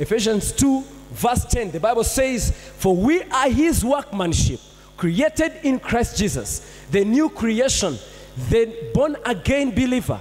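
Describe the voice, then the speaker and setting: A man's lively intonation at a fairly slow pace. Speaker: pastor. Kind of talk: sermon. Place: church. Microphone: handheld.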